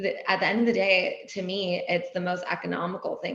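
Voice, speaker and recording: A woman with a Californian accent speaks amid noticeable background noise and audible room echo. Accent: Californian American. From US West Coast, Laguna, California. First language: Persian. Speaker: wellness entrepreneur and editor. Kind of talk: podcast interview.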